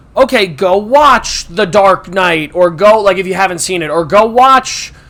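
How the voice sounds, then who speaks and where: With an American accent, the speaker talks at a fairly slow pace and with ordinary pitch variation over noticeable background noise. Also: man, high pitch for a man. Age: 20s. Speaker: movie podcast host. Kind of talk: casual chat. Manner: animated.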